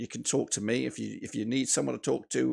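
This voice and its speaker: A man with a fairly low voice speaks against a quiet background. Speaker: football fan streamer. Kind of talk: casual live stream chat. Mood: somber, sincere. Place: home room. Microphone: studio mic.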